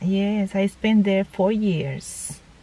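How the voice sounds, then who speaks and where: A woman with a Panamanian accent speaks at a very slow pace. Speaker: interviewee, mother of the vlogger. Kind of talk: casual interview. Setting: at home. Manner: halting.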